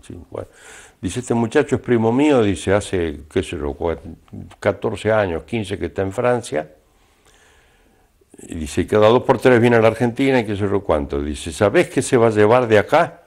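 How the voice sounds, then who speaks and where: Pausing long and often, a man speaks at a moderate pace in a fairly low pitch with vocal fry and lively intonation. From Argentina. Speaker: announcer, voice-over narrator. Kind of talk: interview answer.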